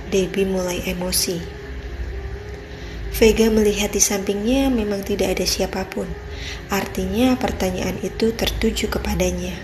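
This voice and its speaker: There is noticeable background noise. Over it, a woman speaks at a moderate pace. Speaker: voice actor. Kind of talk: read story. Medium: read story.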